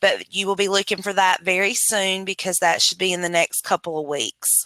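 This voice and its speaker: Speaking with a North Carolina accent, a woman with a medium pitch and a bright, sharp tone uses fairly even intonation in a dry, close sound with no echo. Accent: Southern US (North Carolina). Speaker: public health administrative and financial consultant. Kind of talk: webinar presentation. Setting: video call. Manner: loud.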